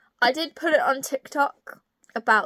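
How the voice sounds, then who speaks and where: A woman with a British accent is heard in a very clean recording with a silent background and a dry, close sound with no echo. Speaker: book reviewer. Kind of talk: book review vlog. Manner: casual, hesitant with fillers.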